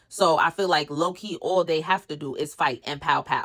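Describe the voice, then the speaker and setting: A woman speaks in an animated tone with a New York accent. Her pitch sits fairly low. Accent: New York City accent, recognizable. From New York City, Brooklyn. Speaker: reality TV recap content creator. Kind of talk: casual commentary recap.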